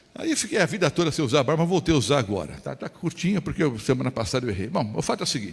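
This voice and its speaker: A man races along at a very fast pace, his voice full of vocal fry and very wide pitch swings. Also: hardly any pauses. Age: 60s. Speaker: pastor. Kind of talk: sermon. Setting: church. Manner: conversational, rhetorical questions.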